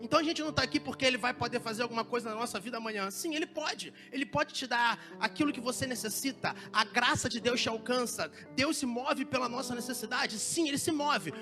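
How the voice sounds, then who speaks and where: The speech rushes along at a very fast pace with hardly any pauses while music plays in the background. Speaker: preacher. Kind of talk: sermon.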